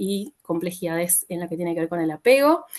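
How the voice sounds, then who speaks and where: A woman with an Argentine accent at medium pitch and moderate pace. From Argentina, Buenos Aires. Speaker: psychologist. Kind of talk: talk. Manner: many filler sounds.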